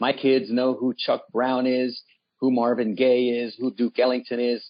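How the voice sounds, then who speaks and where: In a Washington, D.C. accent, a man talks at a fairly slow pace with medium pitch, monotone, flat intonation and very even loudness. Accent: American, D.C. area. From Washington, D.C. (from age 7; born in Nicaragua). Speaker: nonprofit CEO. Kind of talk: radio interview.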